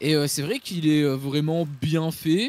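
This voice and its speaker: A man's fairly high voice, dry and close-miked with no echo. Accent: Belgian. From Belgium. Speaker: film critic YouTuber. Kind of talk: casual film review discussion.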